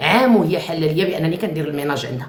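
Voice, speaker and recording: A woman speaks at a very fast pace. Her pitch is fairly low, with ordinary pitch variation. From Morocco. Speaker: live-stream host. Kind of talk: live chat with callers. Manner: animated.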